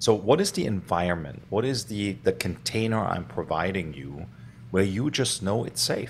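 A man speaks at a moderate pace in a fairly low voice with vocal fry. His pitch swings very widely. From Germany (Stuttgart). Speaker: leadership coach. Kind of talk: interview.

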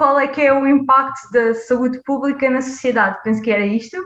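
A woman at a high pitch, fairly even in intonation, at a moderate pace. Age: 20s. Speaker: public health PhD student. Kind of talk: interview.

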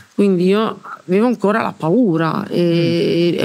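A woman's fairly low voice with ordinary pitch variation, set against noticeable background noise. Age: 60s. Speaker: former Ferrari mechanic. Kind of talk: casual interview. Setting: in person around a table.

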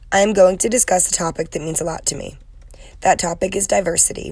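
With an American accent, a woman speaks at a very fast pace in a medium-pitched, somewhat breathy voice with a dark, mellow tone and fairly even intonation. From US Northeast, Connecticut. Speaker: education student. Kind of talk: class presentation, prepared talk.

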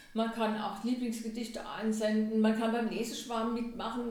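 At a moderate pace, a woman talks at a fairly high pitch with audible room echo. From Germany, Lorsch (southern Hesse). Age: 60s. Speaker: head of a municipal culture office. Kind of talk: interview.

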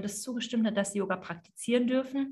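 A woman speaks at a fairly quick pace in a fairly high, somewhat breathy voice with fairly even intonation. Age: 30s. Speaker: yoga teacher and business mentor. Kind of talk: interview conversation.

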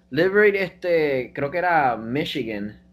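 A man speaks with a Puerto Rican accent. His intonation is lively. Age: 20s. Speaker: biomedical sciences student. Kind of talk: casual chat.

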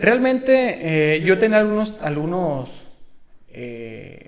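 Noticeable background noise is present in the recording. A man talks amid audible room echo. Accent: Mexican. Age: 20s. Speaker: sports rehabilitation graduate. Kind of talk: casual interview.

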